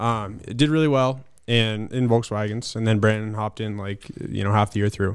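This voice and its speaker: Recorded very cleanly against a silent background, a man with an American accent speaks at a fairly low pitch. He has a plain, everyday voice. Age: 20s. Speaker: short track racer. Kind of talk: casual chat.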